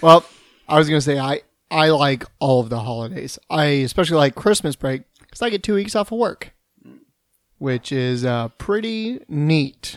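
With music in the background, a man speaks in an animated tone at a moderate pace, his pitch fairly high with very wide swings. The sound is dry and close, with no echo. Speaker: podcast host. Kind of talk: casual banter chat. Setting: drinking during recording. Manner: jokey, animated.

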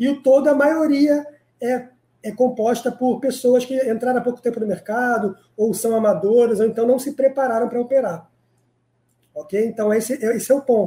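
Pitched extremely high, a man's voice has a dark, mellow tone and fairly even intonation. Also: moderate pace. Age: 30s. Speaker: crypto day trader. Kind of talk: live-stream interview. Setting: live online video stream.

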